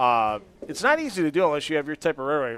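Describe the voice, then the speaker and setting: Fairly high in pitch, a man with a normal speaking voice talks at a fairly quick pace. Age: 50s. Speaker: bowling commentator. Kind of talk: post-event interview and sign-off. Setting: bowling alley.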